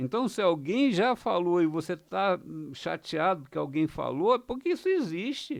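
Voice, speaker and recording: Against a quiet background, a man with a high pitch speaks at a fairly slow pace, taking hardly any pauses while his pitch swings very widely. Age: 70s. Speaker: astrology and spirituality teacher. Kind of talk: monologue video lesson. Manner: halting, with many fillers.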